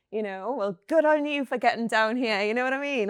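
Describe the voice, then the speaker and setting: Here a woman speaks with a Geordie accent. Her pitch varies in an ordinary way. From Newcastle, northeast England. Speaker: company founder. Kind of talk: panel discussion. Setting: recorded panel at a science campus venue.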